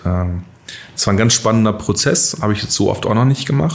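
With lively intonation, a man with an ordinary speaking voice talks at a moderate pace and a fairly low pitch. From northern Germany, near Bremen. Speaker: bank executive. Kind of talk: interview. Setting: studio.

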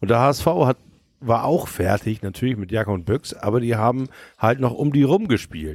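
An unremarkable speaking voice from a man, medium in pitch, with lively intonation at a moderate pace. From Hamburg. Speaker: DJ and podcaster, St. Pauli fan. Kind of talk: casual chat. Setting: recording in a shop with beer.

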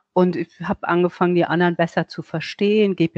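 The speech keeps a moderate pace, its intonation monotone and flat. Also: woman. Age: 60s. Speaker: self-love and appearance coach. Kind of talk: interview.

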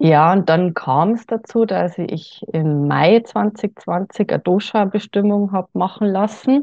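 Speaking at a very slow pace with hardly any pauses, a woman uses a medium pitch and ordinary pitch variation. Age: 40s. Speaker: podcast guest sharing personal wellness experience. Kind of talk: interview.

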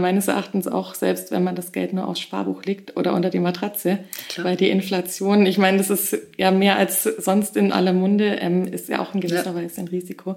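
Noticeable background noise accompanies the recording. A woman at a medium pitch talks at a fairly quick pace. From Bavaria, Augsburg. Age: 30s. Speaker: young property investor. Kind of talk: interview.

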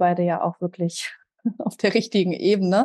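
A woman speaks with an ordinary speaking voice at a medium pitch, with fairly even intonation. The background is quiet. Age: 30s. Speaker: systemic counsellor and trauma-sensitive coach. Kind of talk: podcast interview.

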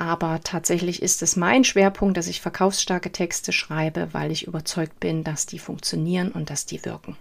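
A woman with a fairly low pitch and vocal fry speaks at a moderate pace. Her intonation is fairly even, with hardly any pauses. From eastern Germany, Saxony. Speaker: copywriter and podcast host. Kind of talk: solo podcast monologue.

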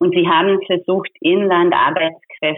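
A woman speaks with a Hungarian accent. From Hungary. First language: Hungarian (speaking German). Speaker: labour activist. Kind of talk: interview. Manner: hesitant, many fillers.

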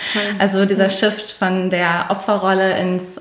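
At a very slow pace, a woman with a medium pitch speaks amid audible room echo. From immigrant family in Germany (Aussiedler). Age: 20s. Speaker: finance coaching alumna, sales professional. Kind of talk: interview.

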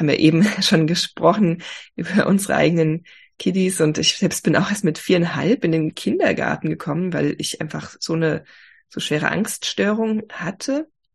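The woman's voice is fairly low in pitch and somewhat breathy, with ordinary pitch variation. She keeps a moderate pace against a quiet background. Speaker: health coach. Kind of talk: interview.

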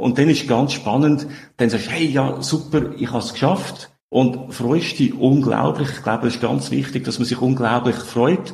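In a Swiss accent, a man speaks at a medium pitch with ordinary pitch variation and audible room echo. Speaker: software company founder. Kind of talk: interview. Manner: halting.

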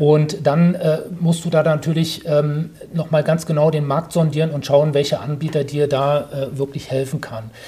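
At a moderate pace, a man with a fairly high voice speaks in a flat, monotone way. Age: 40s. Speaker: real estate developer. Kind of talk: interview. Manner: hesitant with many fillers.

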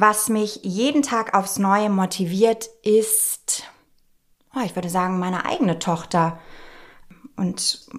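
A woman's ordinary speaking voice, pitched in the medium range for her, with ordinary pitch variation. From Nuremberg, Franconia. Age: 30s. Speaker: dermatologist, podcast co-host. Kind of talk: casual chat.

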